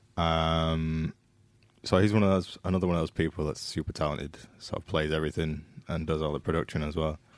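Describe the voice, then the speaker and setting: With a Yorkshire accent, a man speaks at a fairly quick pace in a very deep, low pitch and a monotone, flat intonation, on a very clean recording with a silent background. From Leeds, northern England. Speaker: guitarist. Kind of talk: casual chat.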